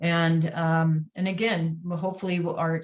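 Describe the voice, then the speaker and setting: This woman has a fairly low, somewhat breathy voice. She speaks with an American accent. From US Midwest, St. Louis, Missouri. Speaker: athletics consultant and former basketball official. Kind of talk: podcast interview. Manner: hesitant, many fillers and repetitions.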